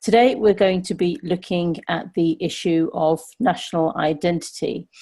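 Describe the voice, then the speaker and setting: The tone is dark and mellow. This woman's pitch sits fairly low. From London, England. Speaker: podcast host. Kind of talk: casual chat.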